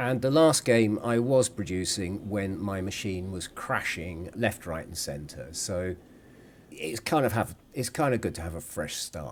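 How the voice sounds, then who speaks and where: A man with a British accent, fairly low in pitch, at a fairly slow pace with lively intonation. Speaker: gaming video creator. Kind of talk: gameplay commentary.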